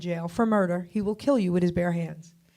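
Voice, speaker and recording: With an American accent, a woman at a medium pitch talks fairly quickly in an animated tone. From New York City, then New Jersey. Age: 60s. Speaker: radio host and author. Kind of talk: interview testimony.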